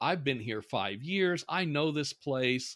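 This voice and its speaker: In an American accent, a normal speaking voice moves at a moderate pace in a very clean recording with a silent background. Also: man. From Indiana, US Midwest. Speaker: professor, author, former Klan member. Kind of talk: interview.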